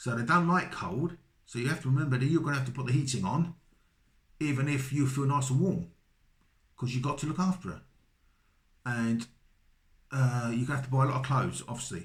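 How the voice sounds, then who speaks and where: A man with a slight Cockney accent and a somewhat breathy, medium-pitched voice speaks at a fairly quick pace with ordinary pitch variation and long, frequent pauses. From London, England. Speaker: vlogger, British husband of a Filipina. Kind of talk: casual advice monologue. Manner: hesitant, repeats words.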